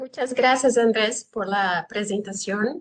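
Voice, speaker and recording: This woman, with a Brazilian accent, speaks fairly slowly with ordinary pitch variation. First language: Portuguese (speaking Spanish). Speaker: genealogist, conference speaker. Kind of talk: conference talk.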